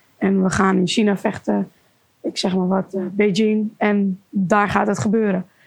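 Somewhat breathy, a woman speaks at a fairly slow pace and medium pitch with monotone, flat intonation. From Amsterdam area, Netherlands. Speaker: kickboxer. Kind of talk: interview.

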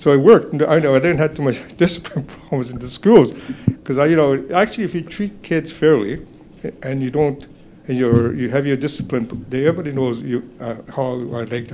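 Noticeable background noise sits behind a man talking fairly quickly with ordinary pitch variation. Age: 80s+. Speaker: judo instructor. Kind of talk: interview. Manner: halting.

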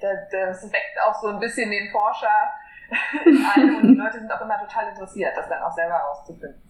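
Over noticeable background noise and audible room echo, a woman speaks at a fairly quick pace. Her pitch is fairly high and her intonation lively. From western Germany, near Koblenz. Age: 20s. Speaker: environmental activist. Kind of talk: interview.

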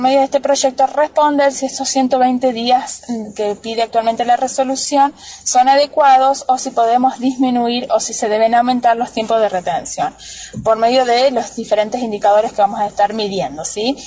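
Noticeable noise fills the background as a high-voiced woman talks at a moderate tempo, her pitch shifting with ordinary variation. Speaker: agricultural researcher. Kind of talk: radio interview. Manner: formal.

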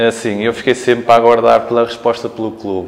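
A man talks in a monotone, flat intonation against noticeable background noise. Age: 30s. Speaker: retired professional basketball player. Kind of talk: casual interview. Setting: team locker room.

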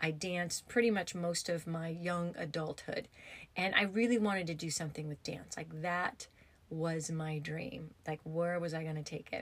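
This woman has an American accent and a fairly low pitch. Her voice is somewhat breathy, and her intonation stays fairly even. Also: moderate pace. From US, upstate New York and Arizona. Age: 50s. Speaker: podcast host, yoga therapist and former hairdresser. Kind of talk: casual storytelling monologue.

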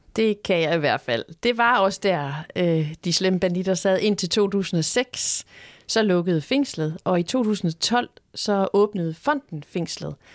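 A woman speaks at a very slow pace with a medium pitch, lively intonation and very even loudness. The sound is dry and close with no echo, in a very clean recording with a silent background. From Denmark, Horsens (East Jutland). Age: 50s. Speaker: museum director. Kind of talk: interview. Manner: hesitant, many fillers.

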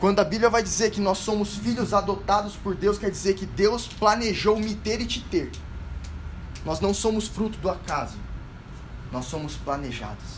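Audible room echo surrounds a man with a high pitch who speaks at a moderate pace with ordinary pitch variation and long, frequent pauses. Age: 20s. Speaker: medical student and lay preacher. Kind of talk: sermon. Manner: animated.

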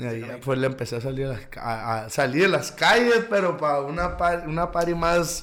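Speaking with a northern Mexican accent, a man uses a fairly high pitch and lively intonation with hardly any pauses. Audible room echo and noticeable background noise surround his voice. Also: moderate pace. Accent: northern Mexican (Sonora). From Caborca, Sonora, Mexico. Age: 20s. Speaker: musician. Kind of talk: casual interview.

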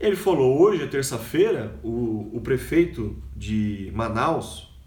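A man speaks at a medium pitch. Audible room echo and noticeable background noise accompany him. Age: 40s. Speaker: podcaster and educator. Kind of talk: casual monologue.

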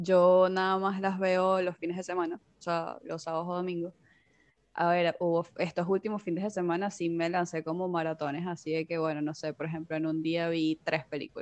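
Against a quiet background, a woman speaks at a moderate pace. Her fairly low voice keeps a monotone, flat intonation. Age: 20s. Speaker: podcast host. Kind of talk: casual chat.

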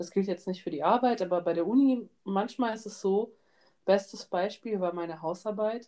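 A normal speaking voice from a woman, medium in pitch with ordinary pitch variation. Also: moderate pace. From Georgia, raised in Germany. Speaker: student podcast co-host. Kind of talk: casual chat.

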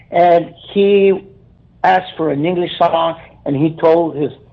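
This man talks with a South Texas accent. His pitch moves with ordinary variation. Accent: South Texas Mexican-American English. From Brownsville, Texas. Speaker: keyboardist. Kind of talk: interview. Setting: phone call.

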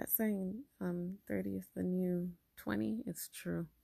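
A woman speaks quietly. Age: 30s. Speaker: podcast host and artist. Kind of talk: solo monologue podcast. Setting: at home. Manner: quiet, low voice; casual, many fillers.

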